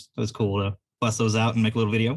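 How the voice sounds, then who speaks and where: A man with a slight Southern US accent speaks fairly quickly at fairly low pitch. His voice is somewhat breathy, on a very clean recording with a silent background. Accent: slight Southern twang. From California. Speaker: game store owner. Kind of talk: casual chat. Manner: fast, laid back.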